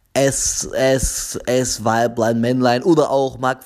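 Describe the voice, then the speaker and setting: Over noticeable background noise, a man with a medium pitch speaks in a fairly even intonation. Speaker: podcast host. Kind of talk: casual solo podcast monologue. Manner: halting, with frequent repetitions and fillers.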